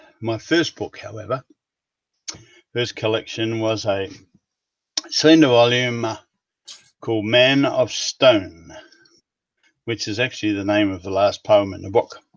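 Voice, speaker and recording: A man with a New Zealand accent talks at a fairly slow pace and medium pitch, with ordinary pitch variation and big swings in loudness. Long, frequent pauses break his speech, and the sound is dry and close with no echo. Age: 70s. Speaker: writer. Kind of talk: interview. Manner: hesitant, with fillers.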